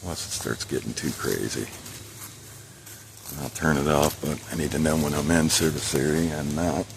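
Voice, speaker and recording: Quietly, a man with a very deep, low pitch speaks in fairly even intonation with long, frequent pauses as noticeable background noise continues. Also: moderate pace. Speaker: bigfoot investigator vlogger. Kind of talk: solo outdoor vlog narration. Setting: outdoors, hiking in woods. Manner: quiet, hushed.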